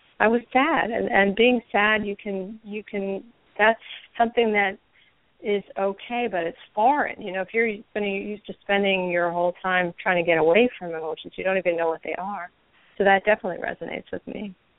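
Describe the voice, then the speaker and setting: A woman talks at a fairly quick pace in an ordinary speaking voice, medium in pitch with ordinary pitch variation. Her loudness swings widely. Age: 50s. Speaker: recovering alcoholic. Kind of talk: personal recovery story and discussion. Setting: phone call.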